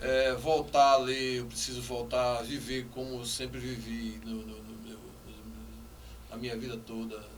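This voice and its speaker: Recorded with audible room echo and noticeable background noise, a man talks at a fairly slow pace with hardly any pauses. His loudness swings widely. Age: 60s. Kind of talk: interview.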